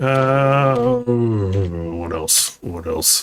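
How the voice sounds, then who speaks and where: A man's put-on character voice, rumbling, medium in pitch, with lively intonation. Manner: grumbly.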